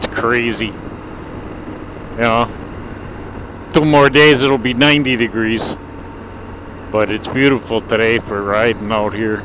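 Speaking at a very slow pace with long, frequent pauses, a man keeps fairly even intonation in a dry sound with no echo, amid noticeable background noise. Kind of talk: casual vlog chat. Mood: relaxed, easygoing. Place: motorbike. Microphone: helmet.

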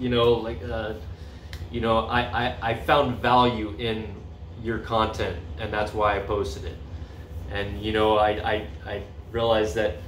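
Speaking in a fairly low, somewhat breathy voice, a man leaves long, frequent pauses amid audible room echo and light background noise. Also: ordinary pitch variation, fairly slow pace. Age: 40s. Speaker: vlogger. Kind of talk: casual vlog monologue. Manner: halting, many fillers. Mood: upbeat, enthusiastic. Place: home room. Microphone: phone near.

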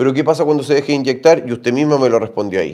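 In a Chilean accent, a man talks with a dark, mellow tone over a quiet background. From Chile, Santiago. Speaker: doctor answering viewer health questions. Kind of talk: live stream Q&A. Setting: livestream. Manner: animated. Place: home room. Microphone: phone near.

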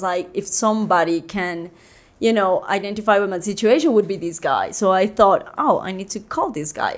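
A woman with a Colombian accent and ordinary pitch variation. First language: Spanish. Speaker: photographer; podcast guest. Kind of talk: casual chat. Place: studio. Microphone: studio mic.

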